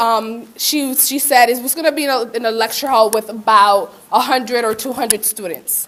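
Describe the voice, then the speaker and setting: A woman with a Spanish accent speaks at a moderate pace over noticeable background noise. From Puerto Rico. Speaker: community college student. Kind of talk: conference presentation, personal testimony. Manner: casual, many fillers.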